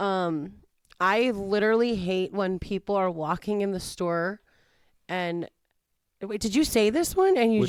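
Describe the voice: With long, frequent pauses, a woman speaks at a fairly slow pace and medium pitch with ordinary pitch variation, in a very clean recording over a silent background. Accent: strong Chicago.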